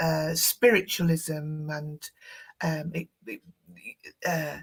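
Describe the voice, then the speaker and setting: A woman speaks at a very slow pace in a northern English accent. Her voice is somewhat breathy. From northern England. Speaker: tarot expert and psychic studies teacher. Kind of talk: interview. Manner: halting.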